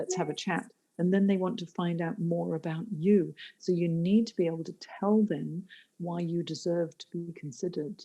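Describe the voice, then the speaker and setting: Her voice is fairly low, dark and mellow, somewhat breathy, with fairly even intonation. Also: moderate pace. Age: 60s. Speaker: careers coach. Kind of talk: podcast interview.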